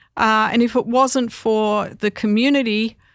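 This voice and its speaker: A woman speaks very slowly in an Australian accent, with a fairly high pitch. Her intonation is monotone and flat, and the recording is very clean with a silent background. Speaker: mother of musicians, interview guest. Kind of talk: interview. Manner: halting, many fillers.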